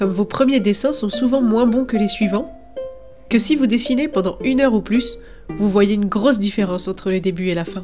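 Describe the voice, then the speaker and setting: A woman's fairly high, lively voice at a fairly quick pace, with music in the background. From France. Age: young. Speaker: freelance illustrator. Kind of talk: drawing tutorial talk.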